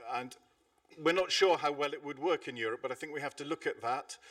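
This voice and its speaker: The man's speech carries ordinary pitch variation. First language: not English. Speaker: air traffic network operations speaker. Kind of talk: conference presentation. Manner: hesitant, many fillers.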